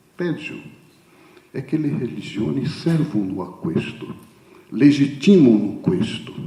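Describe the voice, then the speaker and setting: Someone with a Brazilian accent speaks amid audible room echo. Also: man. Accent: Brazilian Portuguese accent in Italian. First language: Portuguese (speaking Italian). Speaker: theologian speaker. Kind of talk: conference talk. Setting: conference hall with audience. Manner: halting.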